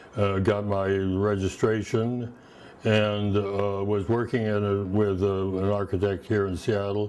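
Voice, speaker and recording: Speaking at a moderate pace, a man has a fairly low pitch. He talks with a Pacific Northwest accent. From Washington State, Olympia. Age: 90s. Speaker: retired architect. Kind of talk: oral history interview. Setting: at home. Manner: halting.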